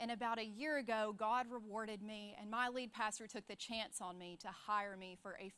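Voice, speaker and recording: Ordinary pitch variation in a woman's bright, sharp tone. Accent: Southern US. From US South, Alabama. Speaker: church staff speaker. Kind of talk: sermon.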